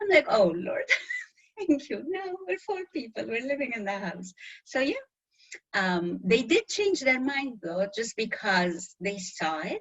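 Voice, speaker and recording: Her pitch fairly high and swinging very widely, a woman speaks at a fairly slow pace. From Middle East. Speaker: interview guest. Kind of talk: interview.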